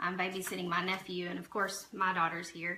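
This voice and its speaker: A quiet woman with a Southern accent, a fairly low pitch, and a very fast pace, over noticeable background noise. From southeastern Oklahoma. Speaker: live streamer. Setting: at home. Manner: speaking quietly.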